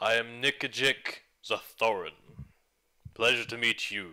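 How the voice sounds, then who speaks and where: A man puts on a character voice at medium pitch and a fairly slow pace. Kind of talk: mock-formal fantasy speech. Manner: solemn, stern, formal.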